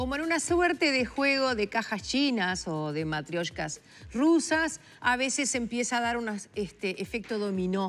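Her pitch swinging very widely, a woman speaks fairly high and at a fairly slow pace. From Uruguay. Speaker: TV host. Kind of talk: TV interview. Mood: warm, pleased. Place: studio.

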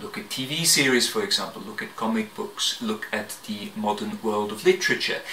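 A man's tone is bright and sharp. Audible room echo surrounds the voice.

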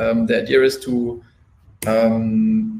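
Lively intonation marks a man's somewhat breathy voice, heard with light background noise and audible room echo. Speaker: restaurant marketing specialist; presenter. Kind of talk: webinar presentation. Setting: live webinar. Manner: fast. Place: home room.

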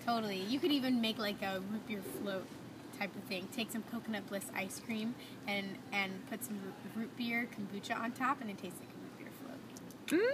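Against noticeable background noise, a woman speaks at a fairly quick pace. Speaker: interviewee. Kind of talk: interview answer. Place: cafe. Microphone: camera far.

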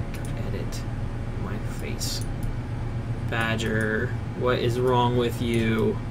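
Very slow speech under loud background noise. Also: man. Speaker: live streamer. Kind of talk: casual stream chat. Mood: relaxed, self-mocking. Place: home room. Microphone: headset.

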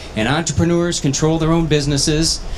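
With an American accent, a man speaks at a fairly high pitch and a moderate pace over light background noise. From northwestern Minnesota. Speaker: county commissioner, gubernatorial candidate; candidate. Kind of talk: candidate forum. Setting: stage with audience at state fair. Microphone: handheld.

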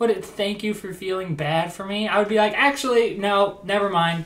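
This man talks at a moderate pace in a high voice with an American accent. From US Midwest. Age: 20s. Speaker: YouTuber, comedian. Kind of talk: reaction video commentary.

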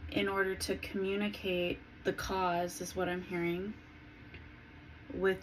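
Over light background noise, a woman talks at a fairly slow pace. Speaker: spiritual vlogger. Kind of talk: casual vlog chat. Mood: calm, dreamy. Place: home room. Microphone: phone near.

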